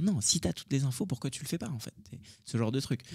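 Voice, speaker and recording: A man races through his words at a very fast pace against a quiet background. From France (raised by grandparents from age 10, Indian-born). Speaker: tech entrepreneur and YouTuber; YouTuber. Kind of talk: casual interview chat. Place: studio. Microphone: studio mic.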